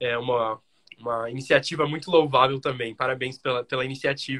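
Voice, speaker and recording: A man talks at a fairly quick pace. His pitch sits fairly high, with a bright, sharp tone. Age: young. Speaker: podcast host. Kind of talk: interview. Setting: live video stream.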